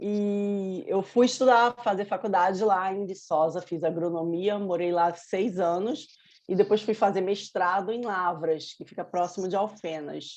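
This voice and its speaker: The speech moves at a fairly slow pace with hardly any pauses. Intonation stays fairly even. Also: woman, medium pitch for a woman. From Brazil, Rio de Janeiro with Minas Gerais ties. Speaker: novelist. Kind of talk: interview.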